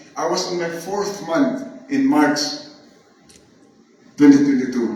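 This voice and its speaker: Lively intonation carries the speech at a moderate pace, with noticeable background noise behind it. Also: man. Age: 70s. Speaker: chemist and nurse. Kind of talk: testimonial talk to an audience.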